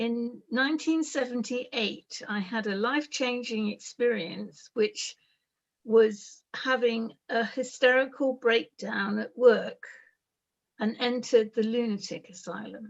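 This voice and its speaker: At a fairly slow pace, a woman speaks in a normal speaking voice, fairly high in pitch, with ordinary pitch variation. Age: 60s. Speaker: expert by experience, mental health survivor. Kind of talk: talk about personal life story. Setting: video call. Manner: slow, in short chunks for interpreter.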